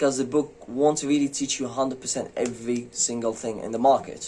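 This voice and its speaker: A man speaks at a fairly quick pace with a non-native accent. His pitch is medium for a man, and his intonation stays fairly even. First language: not English. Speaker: forex trading youtuber. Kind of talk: casual vlog monologue. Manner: hesitant, many fillers.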